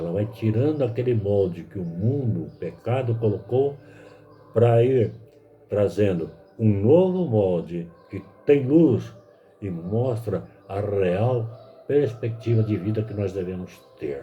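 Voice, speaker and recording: A man at a fairly low pitch and a very slow pace, with lively intonation, big swings in loudness, long, frequent pauses, and audible room echo. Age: 70s. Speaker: lay preacher. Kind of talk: sermon.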